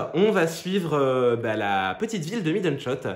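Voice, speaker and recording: With audible room echo, a man speaks at a fairly slow pace, his pitch swinging very widely. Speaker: book reviewer vlogger. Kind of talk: casual book review vlog. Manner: hesitant, many filler sounds.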